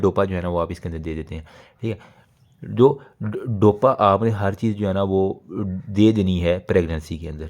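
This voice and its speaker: The recording is very clean against a silent background. A man's dark, mellow tone carries ordinary pitch variation. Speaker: medical lecturer. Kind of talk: exam review lecture. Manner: fast.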